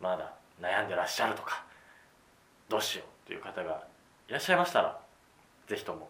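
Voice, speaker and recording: A man at a very fast pace broken by long, frequent pauses, with audible room echo and noticeable background noise. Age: 20s. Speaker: podcast host. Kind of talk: casual chat.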